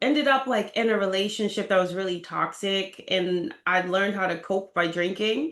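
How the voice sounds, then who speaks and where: A woman talks with an American accent in a fairly high pitch. It is a plain, everyday voice. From Boston, Massachusetts, US. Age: 30s. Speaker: real estate agent sharing a health story. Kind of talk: interview testimony.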